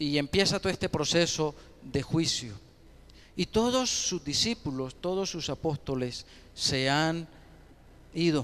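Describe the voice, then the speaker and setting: Lively in intonation, a man with a fairly high pitch talks at a fairly slow pace with long, frequent pauses. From Colombia, Ocaña (Norte de Santander). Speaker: pastor. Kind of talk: sermon.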